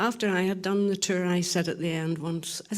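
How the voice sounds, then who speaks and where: Speaking with a Northern Irish accent, a woman keeps a medium pitch and a moderate pace. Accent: Northern Irish (Ulster). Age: 60s. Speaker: distillery tour guide. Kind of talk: casual chat.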